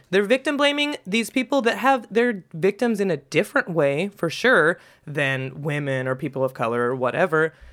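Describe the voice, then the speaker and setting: Speaking in an American accent with a playful tone, the voice moves at a moderate pace with hardly any pauses. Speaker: podcast host. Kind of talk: casual chat. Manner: joking, playful.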